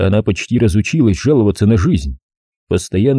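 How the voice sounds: The speaker uses a natural reading voice against a quiet background.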